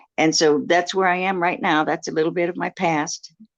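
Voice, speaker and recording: With an American accent and some vocal fry, a woman talks at a moderate pace in a fairly low pitch against a quiet background. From US Midwest, South Dakota. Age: 70s. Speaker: reparations advocate. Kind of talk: interview.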